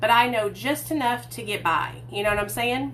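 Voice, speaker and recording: Amid audible room echo and noticeable background noise, a woman with a Southern accent speaks at a fairly quick pace. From US South, Hot Springs, Arkansas. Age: 30s. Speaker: recovery vlogger. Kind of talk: livestream storytelling. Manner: casual, chatty.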